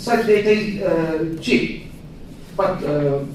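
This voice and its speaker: A man with a high pitch and lively intonation speaks at a fairly slow pace, with audible room echo and noticeable background noise. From Iran. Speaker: academic researcher. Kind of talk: panel discussion comment. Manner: halting.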